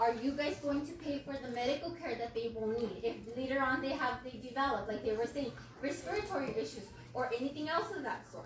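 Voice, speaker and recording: A loud woman with a high pitch speaks fairly quickly with ordinary pitch variation, and audible room echo surrounds her voice. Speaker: substitute teacher speaking at public comment. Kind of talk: public comment at a county board meeting. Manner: impassioned.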